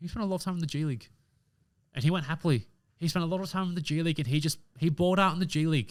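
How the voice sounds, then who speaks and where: Someone with an Australian accent talks at a very fast pace in an animated tone, with ordinary pitch variation, on a very clean recording with a silent background. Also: man, fairly high pitch for a man. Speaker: podcast host. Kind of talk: casual chat.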